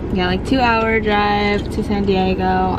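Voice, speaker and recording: A woman speaks against loud background noise. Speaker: vlogger. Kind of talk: casual vlog chat. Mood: cheerful, excited. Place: car. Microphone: phone near.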